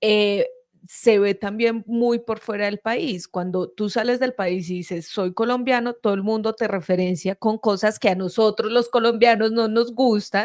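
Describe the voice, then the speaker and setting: A woman's fairly high voice at a fairly slow pace, fairly even in intonation, with hardly any pauses. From Quindío, Colombia. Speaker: channel host. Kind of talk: casual chat.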